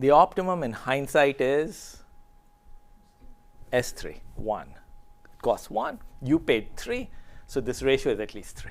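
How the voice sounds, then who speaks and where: Taking long, frequent pauses, a man speaks at a fairly slow pace with big swings in loudness. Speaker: computer science researcher. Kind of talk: lecture. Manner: conversational.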